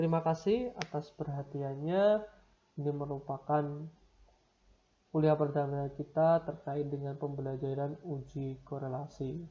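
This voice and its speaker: A man talks at a fairly slow pace, somewhat breathy. His tone is dark and mellow. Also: fairly high pitch for a man, fairly even intonation. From Semarang, Central Java, Indonesia. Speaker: university lecturer. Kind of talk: lecture.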